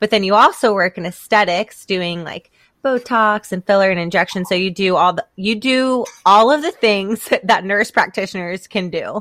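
A woman with an American accent uses a normal speaking voice at a medium pitch, talking at a moderate pace with ordinary pitch variation and hardly any pauses, on a very clean recording with a silent background and a dry, close sound with no echo. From US South. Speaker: podcast host. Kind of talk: casual chat.

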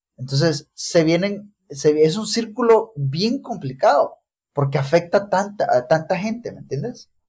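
A man's high-pitched voice with lively intonation, big swings in loudness and a fairly slow pace. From El Salvador, Chalatenango. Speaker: mechanical engineer and military reservist. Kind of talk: casual conversation.

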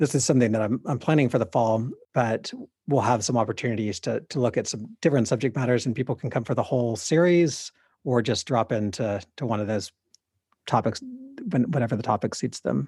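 Somewhat breathy and dark, mellow in tone, a man with an American accent talks at a fairly quick pace with ordinary pitch variation. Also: medium pitch for a man. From US South, East Texas and Arkansas. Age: 40s. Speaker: priest and writer. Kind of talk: interview conversation. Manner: repeats words often, halting.

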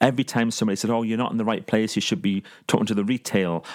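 With a northeast English accent, a man talks at a very fast pace in a fairly low pitch. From northern England, Consett, County Durham. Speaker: professional speaker and life coach. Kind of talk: interview.

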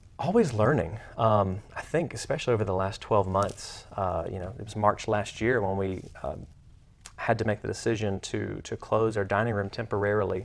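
A man in an Alabama accent, fairly low pitch, fairly even intonation and a moderate pace. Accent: Southern US (Alabama). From US South. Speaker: restaurant operator. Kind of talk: casual interview.

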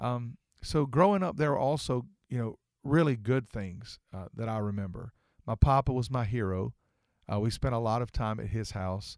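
The sound is dry and close, with no echo. A man speaks at medium pitch and a moderate pace with ordinary pitch variation. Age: 50s. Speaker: pastor. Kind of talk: casual interview chat. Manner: hesitant, frequent fillers.

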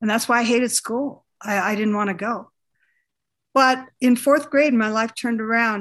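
In a quiet background, a woman with an American accent has an unremarkable speaking voice, a fairly high pitch and fairly even intonation at a moderate pace. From northern Minnesota, US. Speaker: educator and teacher coach. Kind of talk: interview.

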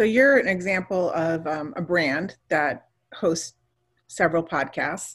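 A woman with an unremarkable speaking voice talks at a fairly slow pace and fairly low pitch, her intonation lively. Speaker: podcast host. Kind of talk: casual interview chat. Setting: video call.

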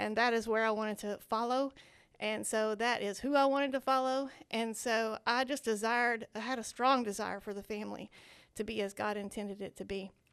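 A woman speaks at a fairly quick pace with a Southern US accent. Her pitch sits fairly high, her intonation stays fairly even, and the background is quiet. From Arkansas (Searcy area). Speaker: children's ministry outreach director. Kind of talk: casual interview.

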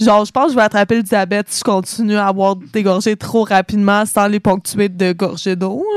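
A woman speaks in an ordinary speaking voice, medium in pitch, at a fairly quick pace with hardly any pauses. The sound is dry and close, with no echo. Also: fairly even intonation. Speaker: college radio co-host. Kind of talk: casual chat. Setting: radio studio.

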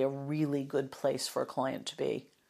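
A woman talks with an American accent in a flat, monotone delivery. The recording is very clean, with a silent background. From United States. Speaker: interior designer. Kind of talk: conversational interview.

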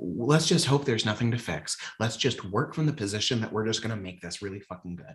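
A man with an American accent talks at a very fast pace, his animated tone somewhat breathy and fairly low in pitch. His intonation is lively, and his loudness swings a lot. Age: 20s. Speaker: comedian and trained classical singer. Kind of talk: casual chat.

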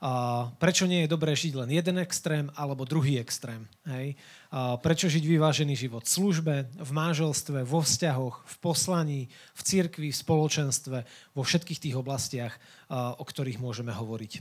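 A man talks at a moderate pace in an ordinary speaking voice. His loudness swings widely. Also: fairly high pitch for a man, ordinary pitch variation. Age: 20s. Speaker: youth worker and lay preacher. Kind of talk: sermon.

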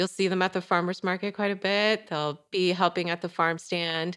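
Here is a woman with an American accent and an unremarkable speaking voice, at medium pitch and moderate pace. Her intonation is fairly even, and the recording is very clean with a silent background. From Michigan. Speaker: organic farmer. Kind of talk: interview.

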